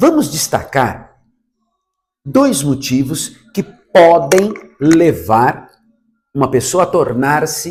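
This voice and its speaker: There's a somewhat breathy sound to this man's voice. Its pitch is fairly high. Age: 60s. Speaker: Umbanda priest. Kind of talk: religious teaching talk.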